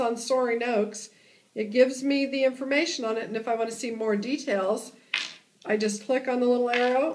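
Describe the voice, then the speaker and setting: Over noticeable background noise, a woman talks at a fairly quick pace with a high pitch and fairly even intonation. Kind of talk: tutorial. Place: meeting room. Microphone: camera far.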